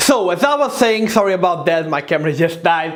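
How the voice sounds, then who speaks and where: A man speaks at a moderate pace with a non-native accent and lively intonation, over noticeable background noise and audible room echo. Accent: foreign. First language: not English. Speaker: fitness youtuber. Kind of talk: tutorial. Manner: casual, direct to camera.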